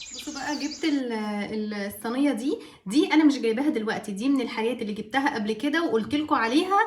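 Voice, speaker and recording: A woman's high voice at a very fast pace, lively in intonation, amid noticeable background noise. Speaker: vlogger. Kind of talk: casual vlog talk to camera.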